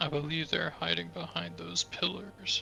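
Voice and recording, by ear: A man whispering in a put-on character voice at a moderate pace, with clear background noise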